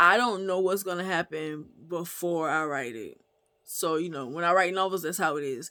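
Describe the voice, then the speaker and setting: Recorded very cleanly against a silent background, a woman with an American accent talks at a moderate pace in a fairly low voice, her tone bright and sharp and her pitch varying in an ordinary way. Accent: slight Gullah twang. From US South, Gullah Geechee community. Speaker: author and book reviewer. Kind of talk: book review vlog. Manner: casual, conversational with fillers.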